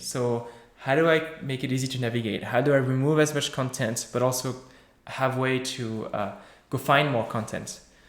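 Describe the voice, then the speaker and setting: A man talks at medium pitch, varying it in an ordinary way, with audible room echo around him. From France. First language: French. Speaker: software developer. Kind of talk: Q&A after a tech talk. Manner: halting, many fillers.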